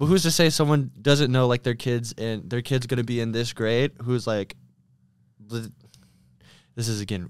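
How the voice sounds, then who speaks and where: An unremarkable speaking voice with ordinary pitch variation, kept at a moderate pace. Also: man. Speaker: student, podcast guest. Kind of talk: casual chat.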